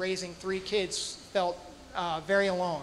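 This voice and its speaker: A high-pitched man with an American accent, audible room echo around his voice. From England (Manchester area), then northern New Jersey. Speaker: storyteller. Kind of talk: personal storytelling on stage. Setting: stage with audience. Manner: halting.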